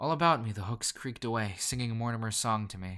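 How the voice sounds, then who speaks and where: On a very clean recording with a silent background, a man of fairly low pitch talks at a fairly quick pace with fairly even intonation. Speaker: creepypasta narrator. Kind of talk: horror story reading. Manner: fast.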